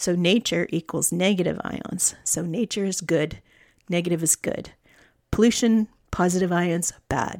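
A woman with a Canadian accent has an ordinary speaking voice, fairly low in pitch, with fairly even intonation and a fairly slow pace. The recording is very clean, with a silent background and a dry, close sound with no echo. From Canadian prairies, Alberta. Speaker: podcast host. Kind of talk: solo monologue. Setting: home studio.

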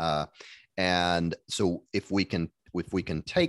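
Against a quiet background, a man with an American accent speaks in a very deep, low pitch, the sound dry and close with no echo. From US Midwest. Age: 40s. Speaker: family doctor and podcaster. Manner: hesitant, filler-heavy.

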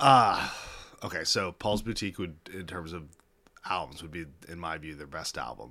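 The speaker has a Midwestern American accent and a bright, sharp tone, with ordinary pitch variation. The pace is moderate, broken by long, frequent pauses. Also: man, very deep, low pitch for a man. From Kansas City, US Midwest. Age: 40s. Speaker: attorney. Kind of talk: casual chat.

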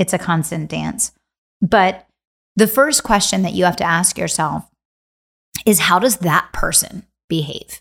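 A woman speaks at a medium pitch with vocal fry and an energetic tone. The recording is very clean, with a silent background. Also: ordinary pitch variation, fairly slow pace. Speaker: business coach and podcast host. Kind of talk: guided visualization inside a motivational business lesson, eyes-closed imagery prompts. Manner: slow, paced prompts in short clipped fragments with pauses; earnest, energetic motivational delivery with filler restarts.

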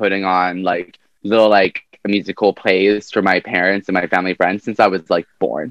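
An ordinary speaking voice from a man with a Canadian accent, fairly low in pitch, at a moderate pace, with a dry, close sound and no echo. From Canada, Vancouver. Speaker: drag performer. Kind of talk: interview.

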